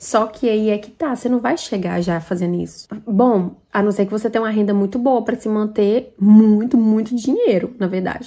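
Against a quiet background, a woman talks at a moderate pace with hardly any pauses. Her voice is fairly high, with ordinary pitch variation and a dark, mellow tone. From Brazil. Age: 20s. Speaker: vlogger. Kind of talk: Q&A vlog answering viewer questions. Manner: casual, chatty. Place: home room. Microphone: phone near.

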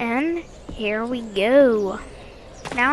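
Background noise is noticeable throughout. The pitch variation is ordinary. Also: woman. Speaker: gaming youtuber. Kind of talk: gameplay review commentary. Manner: halting, with fillers.

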